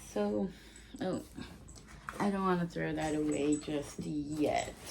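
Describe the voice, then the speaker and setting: Amid noticeable background noise and clear room echo, a woman talks very slowly. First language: not English. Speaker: vlogger. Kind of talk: casual haul video.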